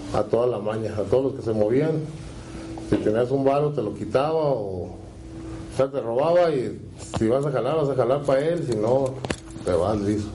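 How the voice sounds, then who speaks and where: A man speaks at medium pitch and moderate pace, with ordinary pitch variation and long, frequent pauses. Audible room echo and noticeable background noise fill the recording. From Mexico, Guadalajara, Jalisco. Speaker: former cartel member. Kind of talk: interview testimony.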